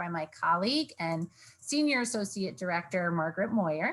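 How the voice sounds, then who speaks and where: A somewhat breathy woman speaks at a fairly quick pace with medium pitch. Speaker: university financial aid director. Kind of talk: online information session presentation. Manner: fast.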